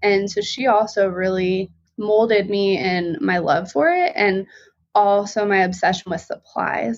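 An unremarkable speaking voice with an American accent moves at a fairly slow pace with ordinary pitch variation. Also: woman, medium pitch for a woman. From Colorado. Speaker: visual artist and stay-at-home mom. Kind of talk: casual interview chat.

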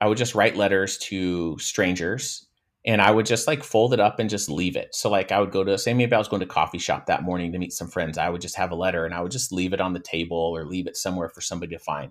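On a very clean recording with a silent background, a man with a very deep, low pitch talks very fast and energetically, with hardly any pauses and ordinary pitch variation. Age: 40s. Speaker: mindfulness and breath work coach. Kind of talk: casual interview.

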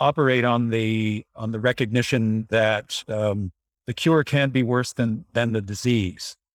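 A man speaks at a fairly slow pace in a normal speaking voice, medium in pitch with ordinary pitch variation, in a dry, close sound with no echo. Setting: video call.

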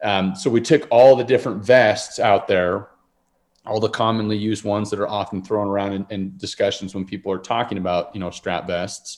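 In an unremarkable speaking voice, a man talks at a fairly low pitch and a fairly quick pace with an American accent. His intonation is fairly even, and the recording is very clean with a silent background. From Utah. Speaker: outdoor gear business owner and hunter. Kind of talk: casual interview. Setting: at home, remodeling house.

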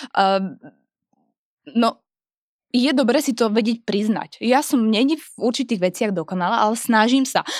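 Long, frequent pauses at a moderate pace, with ordinary pitch variation, on a very clean recording with a silent background. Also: woman, fairly high pitch for a woman, very even loudness. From Moravia, Czech Republic. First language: Czech (speaking Slovak). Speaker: fitness trainer. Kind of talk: casual chat. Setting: studio.

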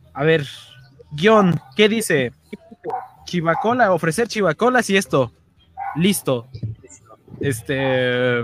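Music plays behind a man who speaks very slowly in a fairly high pitch, with very wide pitch swings and long, frequent pauses. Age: 40s. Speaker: podcast host. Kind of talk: casual chat. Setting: livestream.

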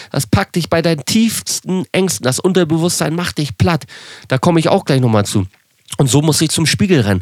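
Very wide pitch swings in a man's speech, delivered at a moderate pace. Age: 30s. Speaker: social media entertainer. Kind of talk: casual monologue.

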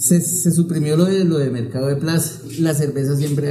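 A man keeps a moderate pace while audible room echo and noticeable background noise fill in around his voice. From Bogotá, Colombia. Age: 40s. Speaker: shopkeeper. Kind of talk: interview.

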